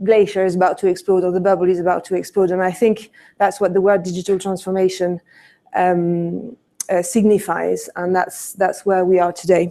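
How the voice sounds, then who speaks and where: Dark, mellow tone in a French accent, with monotone, flat intonation. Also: woman, medium pitch for a woman, moderate pace. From France. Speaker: conference speaker, retail consultant. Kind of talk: conference presentation. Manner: many hesitations (um, uh).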